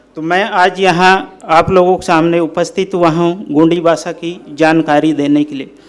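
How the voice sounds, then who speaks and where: Over noticeable background noise, a man with a high pitch talks with hardly any pauses and fairly even intonation. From Bastar, Chhattisgarh, India. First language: Gondi (speaking Hindi). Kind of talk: talk to an audience. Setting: speaking before a live audience. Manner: formal.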